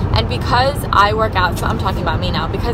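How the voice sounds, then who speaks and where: Loud background noise fills this dry recording with no echo. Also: woman. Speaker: vlogger. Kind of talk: casual vlog chat. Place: car. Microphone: phone near.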